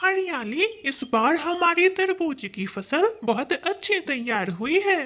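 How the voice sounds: A woman puts on a cartoonish character voice at an extremely high pitch, speaking at a fairly slow pace.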